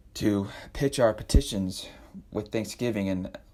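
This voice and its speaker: This man's raspy voice has a dark, mellow tone, a fairly low pitch and fairly even intonation. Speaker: podcast host. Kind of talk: devotional podcast talk.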